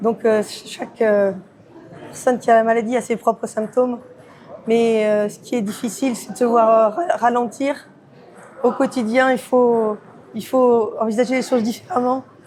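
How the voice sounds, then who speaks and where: Long, frequent pauses break up fairly slow speech with fairly even intonation. Loudness swings widely, and background noise is noticeable. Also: woman, fairly high pitch for a woman. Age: 50s. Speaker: amateur table tennis player with Parkinson's. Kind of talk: interview. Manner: halting, many repetitions.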